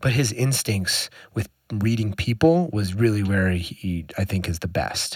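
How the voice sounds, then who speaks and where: Recorded very cleanly against a silent background, a man speaks at a moderate pace with lively intonation. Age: 30s. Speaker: physiotherapist and former pro runner. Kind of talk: casual interview conversation. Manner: halting, many repeated words.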